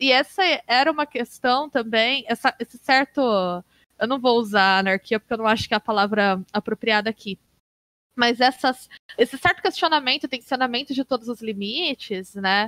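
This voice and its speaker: With a bright, sharp tone and a high pitch, a woman speaks at a moderate pace with ordinary pitch variation, in a dry, close sound with no echo. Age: 30s. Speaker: games researcher and university professor. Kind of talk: casual interview.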